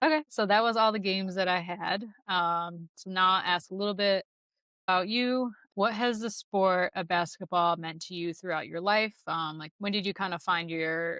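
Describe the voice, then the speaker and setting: A woman's bright, sharp tone at a moderate pace, fairly even in intonation, dry and close with no echo. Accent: American. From US Midwest. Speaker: podcast host. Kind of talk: casual chat.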